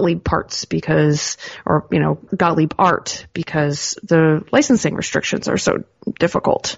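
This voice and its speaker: This woman's voice sits at a fairly low pitch and carries noticeable vocal fry. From Canada, Ontario (Georgian Bay). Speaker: pinball parts company staffer. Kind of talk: casual interview.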